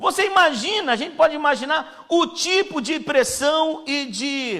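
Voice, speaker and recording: A man speaks at a fairly slow pace. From Pernambuco, Brazil. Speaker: missionary preacher. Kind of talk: sermon. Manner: casual, conversational.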